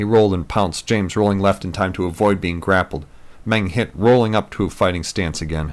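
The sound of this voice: The voice reads aloud. It is an unforced reading voice.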